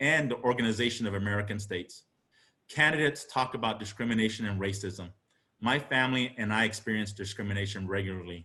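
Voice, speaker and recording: Delivered at a very fast pace in a Spanish accent, the voice has a bright, sharp tone and ordinary pitch variation. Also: man. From Arizona. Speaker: congressional candidate, lawyer. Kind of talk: campaign speech. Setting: political party meeting. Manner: formal.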